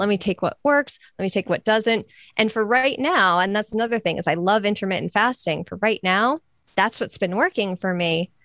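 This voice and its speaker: A woman's animated, medium-pitched voice, fairly quick, with ordinary pitch variation and a dry, close sound with no echo. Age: 30s. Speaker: podcaster and weight loss advocate. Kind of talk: casual interview chat.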